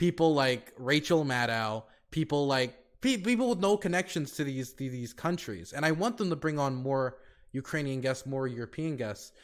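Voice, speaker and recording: Captured in a very clean recording with a silent background, a man with an American accent and a fairly high pitch uses an unremarkable speaking voice, with lively intonation at a moderate pace. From United States. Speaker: streamer and podcast co-host. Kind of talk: casual podcast discussion.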